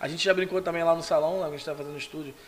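A man speaks with a fairly high pitch in a monotone, flat intonation. Noticeable background noise sits behind him. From São Gonçalo, Brazil. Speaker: photographer. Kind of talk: casual interview. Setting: studio.

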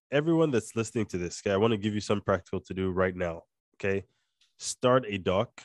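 Speaking at a very fast pace with a Nigerian accent, a man shows ordinary pitch variation. The sound is dry and close with no echo over a quiet background. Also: fairly low pitch for a man. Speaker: podcast host and company co-founder. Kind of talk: casual chat. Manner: code-switching, more Nigerian when talking with Josh.

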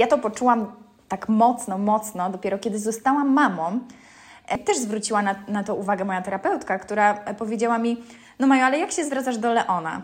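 Her tone is animated and her pitch fairly high. The woman talks at a fairly quick pace with ordinary pitch variation. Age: 30s. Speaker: podcast host. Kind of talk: casual monologue. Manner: hesitant with fillers.

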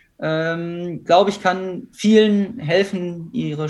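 A high-pitched man amid noticeable background noise. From Ruhr area, Germany (near Essen). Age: 20s. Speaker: professional triathlete. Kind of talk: interview.

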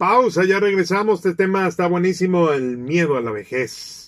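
Talking at a fairly slow pace, a man with a high voice uses lively intonation. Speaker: radio host. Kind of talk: radio interview.

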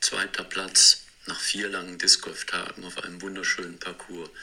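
A man speaks at moderate speed, and noticeable noise is present in the background. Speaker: disc golf player. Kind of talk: scripted narration. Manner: narrative storytelling.

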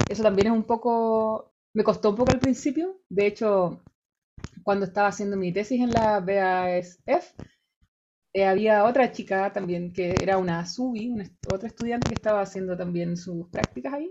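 Moderately paced, a woman speaks in a medium pitch with a dark, mellow tone and ordinary pitch variation. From Chile, Rancagua. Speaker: researcher and university lecturer. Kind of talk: casual interview.

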